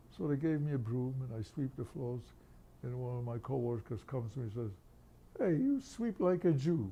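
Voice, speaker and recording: Somewhat breathy and dark, mellow in tone, a man's medium-pitched voice carries lively intonation. He speaks at a moderate pace. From Poland. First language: Yiddish. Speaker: Holocaust survivor. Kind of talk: interview.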